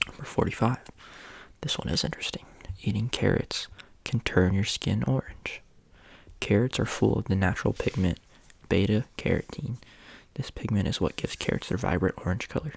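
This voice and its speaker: Soft-spoken and relaxed in tone, the speaker goes at a fairly quick pace, broken by long, frequent pauses. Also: very clean recording, silent background. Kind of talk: ASMR fun-facts reading, casual talk to camera. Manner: soft-spoken, relaxed, reading facts.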